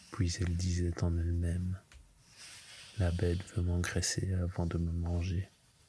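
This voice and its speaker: The speaker talks at a very slow pace. The voice is soft-spoken. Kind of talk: bedtime story reading, ASMR.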